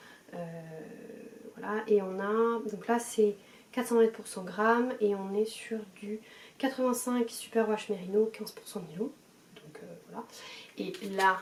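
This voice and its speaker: A woman's fairly high voice unfolds at a very slow pace. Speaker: knitting podcaster. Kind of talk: casual chat. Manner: hesitant, many fillers.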